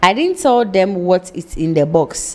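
Someone with a normal speaking voice talks at a fairly slow pace. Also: woman. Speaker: TV show host. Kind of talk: reading a viewer letter aloud. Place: studio. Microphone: studio mic.

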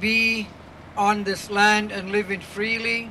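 Over light background noise, a man speaks in a raised, projected voice. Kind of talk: rally speech. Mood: earnest and firm. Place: street. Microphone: handheld.

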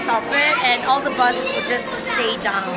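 Crowd noise fills the background. The speech is fairly slow, with ordinary pitch variation. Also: woman. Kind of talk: casual vlog chat. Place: tunnel cave. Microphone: phone near.

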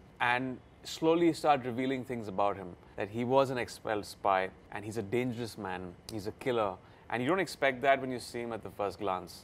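Light background noise sits under a man talking at a fairly quick pace, with ordinary pitch variation and big swings in loudness. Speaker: interviewee. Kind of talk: interview answer. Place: studio.

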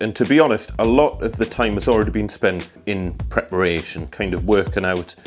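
Faint background music behind a man at a moderate pace. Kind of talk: tutorial. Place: home room.

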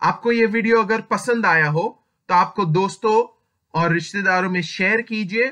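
Against a quiet background, a man with a non-native accent and a high pitch speaks very slowly in a bright, sharp tone, with ordinary pitch variation. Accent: speaks weak Hindi, non-native. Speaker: HR advice youtuber. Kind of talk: tutorial. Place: home room. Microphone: webcam.

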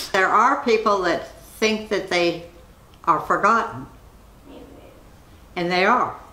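In a room with audible echo, a woman with a medium pitch speaks at a very slow pace with long, frequent pauses and ordinary pitch variation. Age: 90s. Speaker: interviewee. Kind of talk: interview; interview answer. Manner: halting. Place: home room.

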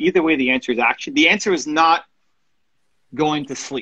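A man speaks at a moderate pace with a fairly high pitch. His tone is bright and sharp, with a slightly husky edge. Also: ordinary pitch variation.

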